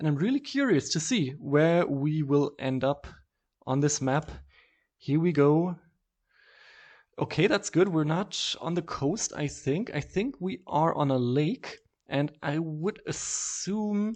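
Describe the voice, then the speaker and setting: The speaker has a German accent. The pace is very slow. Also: quiet background. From southwest Germany. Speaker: video game streamer. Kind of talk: casual game commentary. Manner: hesitant, many fillers.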